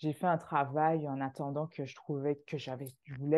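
A woman's voice, very deep and low with a dark, mellow tone, comes through over a quiet background. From Martinique. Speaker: immigration agency founder. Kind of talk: casual interview.

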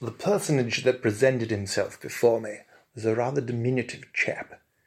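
Fairly even intonation in plain reading aloud

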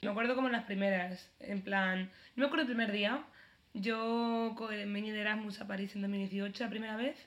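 A medium-pitched woman's voice is heard with noticeable background noise behind it. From Spain. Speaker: podcast co-host. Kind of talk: casual chat.

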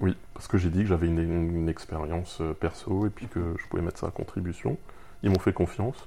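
A man's very deep, low voice at a fairly quick pace, with ordinary pitch variation and big swings in loudness. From Alsace, France (Haguenau). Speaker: freelance iOS developer. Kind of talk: interview. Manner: halting, frequent repetitions.

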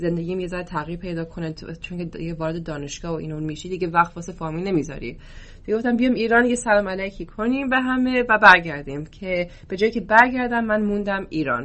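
A woman talks very fast in an American accent at medium pitch. Her intonation is lively, with big swings in loudness. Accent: American-accented Persian. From US, Oklahoma. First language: English (speaking Persian). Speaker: football coach. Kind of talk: podcast interview. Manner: hesitant with fillers.

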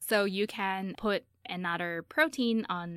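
A woman's medium-pitched voice with a Chinese accent, in a very clean recording with a silent background. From China. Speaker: PhD student in molecular biology. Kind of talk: radio interview.

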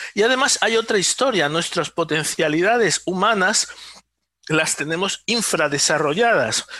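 Raising and projecting his voice, a man speaks at a high pitch and a fairly slow pace, with lively intonation and a bright, sharp tone. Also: very even loudness. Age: 50s. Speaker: neuroscientist and electronic engineer. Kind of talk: interview. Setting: remote call.

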